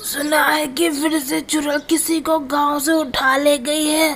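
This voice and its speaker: A raspy, high-pitched put-on character voice at a moderate pace, monotone and flat, over clear background noise. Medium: cartoon. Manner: gloomy, cautious.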